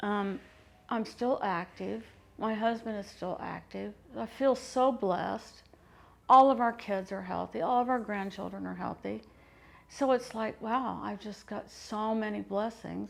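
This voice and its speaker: Fairly slow delivery in a very clean recording with a silent background. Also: woman. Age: 60s. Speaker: interviewee, grandmother. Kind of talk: interview.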